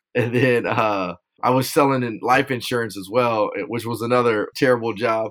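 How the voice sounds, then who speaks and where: A man with a normal speaking voice, medium pitch, fairly even intonation and a moderate pace. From Southern California (Rialto). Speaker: police officer and nonprofit founder. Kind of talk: interview.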